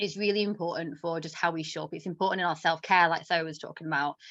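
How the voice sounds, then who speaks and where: A woman talks with an English accent at a fairly low pitch. The background is quiet. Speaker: self-worth coach. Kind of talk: workshop talk. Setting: live online session. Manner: fast.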